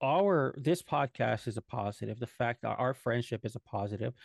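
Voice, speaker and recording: Against a quiet background, a man of medium pitch talks at a moderate pace. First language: Spanish. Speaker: podcast co-host. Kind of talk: casual chat. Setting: livestream.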